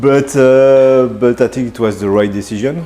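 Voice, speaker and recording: With a French accent and ordinary pitch variation, a man talks over noticeable background noise. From France, Burgundy. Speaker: executive chef. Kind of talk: interview. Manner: halting, many fillers.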